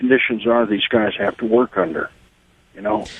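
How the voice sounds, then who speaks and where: A man in an American accent, medium in pitch, with monotone, flat intonation and a moderate pace. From Texas border region. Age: 60s. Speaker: caller, border landowner. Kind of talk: call-in radio talk.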